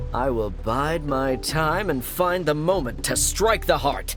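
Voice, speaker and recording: Clear music plays in the background as a man in a cartoonish character voice speaks at a fairly slow pace and a fairly high pitch. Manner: pompous, declamatory, rhyming.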